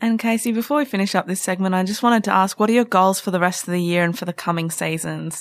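Speaking with an Australian accent, a woman goes at a very fast pace with hardly any pauses. Her pitch is medium. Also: ordinary pitch variation. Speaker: podcast host. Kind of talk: sports chat show. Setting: studio.

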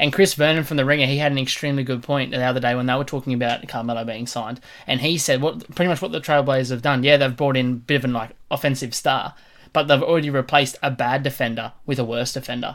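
In an Australian accent, the speaker moves at a very fast pace with fairly even intonation on a very clean recording with a silent background. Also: man, medium pitch for a man. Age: 20s. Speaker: sports podcast host. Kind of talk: casual chat.

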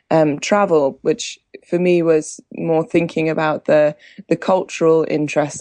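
Against a quiet background, a woman with a southern English accent speaks in a very deep, low pitch and a dark, mellow tone, with ordinary pitch variation and a dry, close sound with no echo. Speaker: wine journalist. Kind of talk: casual interview. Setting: Skype call.

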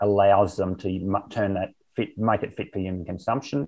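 Speaking with an Australian accent, a man uses a fairly low pitch. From rural Queensland, Australia. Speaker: olive oil company co-founder and chairman. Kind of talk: interview.

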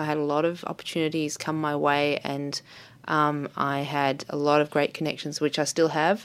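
A woman speaks at a very deep, low pitch. Her intonation is fairly even and her pace moderate. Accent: Australian. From Australia, Melbourne. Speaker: artist. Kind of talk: interview. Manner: halting, many fillers.

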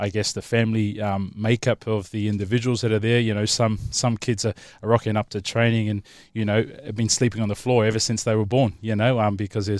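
Over a silent background in a very clean recording, a man speaks very fast in a flat monotone. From Samoa, moved to Australia at twelve. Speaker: former rugby league player, community program manager. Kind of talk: panel discussion.

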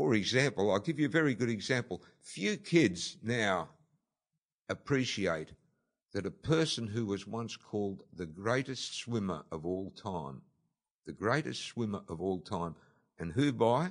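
A man speaks fairly slowly in an Australian accent, his voice fairly low. His pitch swings very widely. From Australia, Sydney (Bondi). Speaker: documentary executive producer. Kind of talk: interview.

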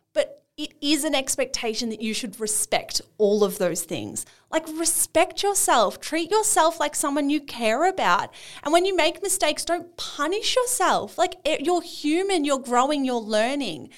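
With an Australian accent, a woman speaks in a high pitch with very wide pitch swings, captured in a very clean recording with a silent background. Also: moderate pace. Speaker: podcast co-host. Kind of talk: casual chat.

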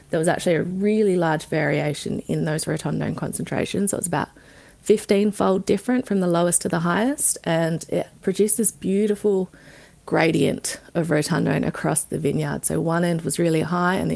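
Speaking with an Australian accent at a moderate pace, a woman is heard over noticeable background noise. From South Australia, Barossa Valley. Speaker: wine research scientist. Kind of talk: interview. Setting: studio.

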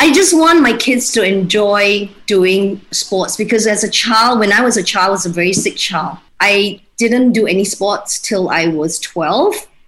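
A woman's medium-pitched voice at a fairly slow pace with hardly any pauses, lively intonation and very even loudness, over noticeable background noise. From Malaysia, Kuching (Sarawak). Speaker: home baker and mother. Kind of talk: casual interview.

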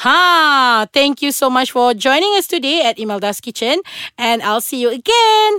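Raised and projected, a woman's high-pitched voice is animated, with very wide pitch swings and very even loudness at a moderate pace. The sound is dry and close, with no echo. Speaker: podcast host. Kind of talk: casual interview.

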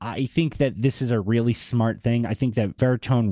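Speaking with a Boston accent, a man has a medium pitch and a dark, mellow tone at a fairly quick pace. The recording is very clean, dry and close, with no echo and a silent background. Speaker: podcast host. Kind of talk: casual interview chat.

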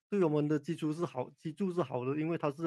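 A man speaks at a fairly high pitch in a dark, mellow tone. His pace is fairly quick. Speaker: orthopaedic spine surgeon. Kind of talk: expert interview on radio call-in. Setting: radio studio with Facebook Live.

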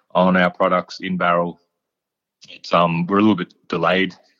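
A man with an Australian accent, bright and sharp in tone, at a moderate pace, in a dry, close sound with no echo. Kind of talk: casual interview chat.

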